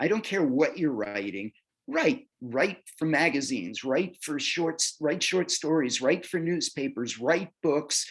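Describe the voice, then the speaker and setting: Speaking very slowly, this man has a fairly high pitch, very wide pitch swings and vocal fry. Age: 70s. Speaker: author and music producer. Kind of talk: interview.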